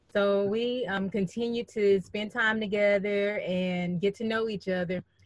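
A woman speaks with a Southern US accent in a monotone, flat delivery. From Birmingham, Alabama. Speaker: guest sharing marriage story, author. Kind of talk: testimony.

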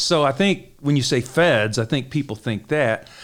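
A man with a Detroit accent. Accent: Midwestern American (Detroit). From Detroit, Michigan. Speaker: crime reporter. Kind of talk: interview.

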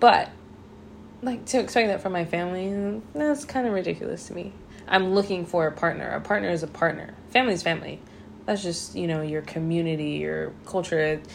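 Speaking in an ordinary speaking voice, a woman with a fairly low pitch talks at a fairly quick pace with lively intonation. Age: 30s. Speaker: host's girlfriend. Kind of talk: casual chat.

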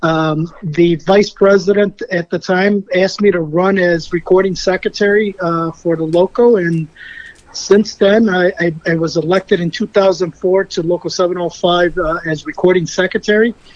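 In a dry, close recording with no echo but noticeable background noise, a man with a high pitch speaks fairly slowly with fairly even intonation. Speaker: union officer candidate. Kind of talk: interview. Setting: phone call.

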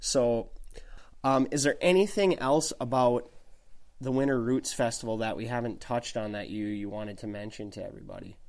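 Speaking with an Upper Midwest accent, a man of medium pitch talks at a fairly quick pace with ordinary pitch variation and big swings in loudness. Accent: Upper Midwest American. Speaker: podcast host. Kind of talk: casual chat. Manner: uses many fillers.

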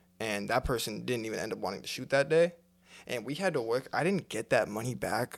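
A man with an American accent, vocal fry and a fairly quick pace. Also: medium pitch for a man, lively intonation. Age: 20s. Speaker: podcast host and videographer. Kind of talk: casual chat.

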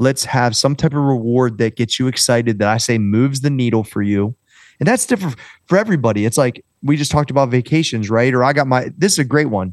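The speech comes at a very fast pace in an American accent. The background is quiet. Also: man, medium pitch for a man, ordinary pitch variation. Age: 40s. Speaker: fitness trainer and entrepreneur. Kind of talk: casual interview chat.

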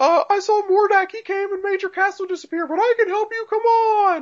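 A man puts on a character voice at an extremely high pitch. He talks at a moderate pace. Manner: amateurish, flat voice acting.

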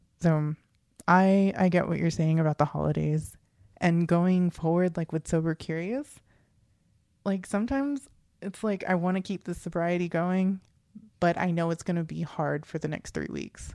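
A woman with an unremarkable speaking voice talks at a moderate pace, her pitch fairly low. Her pitch varies in an ordinary way on a very clean recording with a silent background. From USA, Filipino-American family. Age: 30s. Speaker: podcast co-host. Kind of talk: casual chat.

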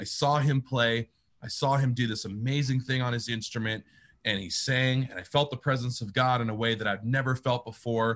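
A man with an unremarkable speaking voice talks at a fairly quick pace and medium pitch, his intonation fairly even, over a quiet background. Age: 30s. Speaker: pastor and worship leader. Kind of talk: casual interview.

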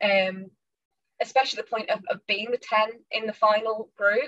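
A woman speaks with a northern English accent at a fairly high pitch. The sound is dry and close, with no echo. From northern England / Midlands, UK. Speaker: fantasy author. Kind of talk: interview.

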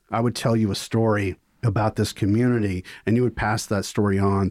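A man with a Mississippi accent speaks in a fairly low pitch and a monotone, flat intonation, in a very clean recording with a silent background. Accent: Southern US (Mississippi). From US South, Mississippi (Vicksburg). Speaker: film professor. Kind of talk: casual interview.

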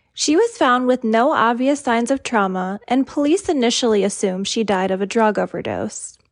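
Over a quiet background, a woman with an ordinary speaking voice talks at a moderate pace, pitched fairly high, with ordinary pitch variation. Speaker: true crime podcaster. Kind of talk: scripted true-crime narration. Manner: even, serious, measured storytelling.

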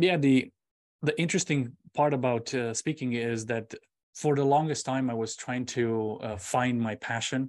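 A man's medium-pitched voice with a Romanian accent, a moderate pace and ordinary pitch variation, over a quiet background. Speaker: public speaker and semiconductor engineer. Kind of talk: interview.

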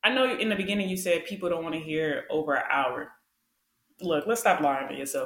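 In a normal speaking voice, a woman with an American accent talks at a fairly quick pace, her fairly low pitch moving with lively intonation. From Wisconsin, US. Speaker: solo podcaster, military service member. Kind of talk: casual conversation, personal storytelling.

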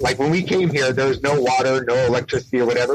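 Somewhat breathy, a man speaks with a fairly high pitch. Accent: American. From San Diego, California. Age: 40s. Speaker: nonprofit founder, Navy veteran. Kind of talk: interview.

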